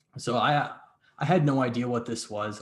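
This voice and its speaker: There is audible echo from the room as a man talks. His pitch is medium and his pace moderate. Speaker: data science instructor. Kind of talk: lecture.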